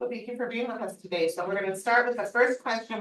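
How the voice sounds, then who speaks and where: A woman speaks with ordinary variation in her pitch. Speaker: panel moderator. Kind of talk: panel moderation. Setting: workshop room with audience, no mic. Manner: loud. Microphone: no microphone.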